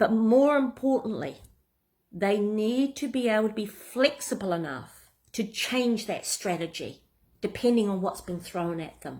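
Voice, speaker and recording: A woman with a New Zealand accent, medium pitch, ordinary pitch variation and a fairly slow pace. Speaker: business coach. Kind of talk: tutorial. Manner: casual, some hesitations.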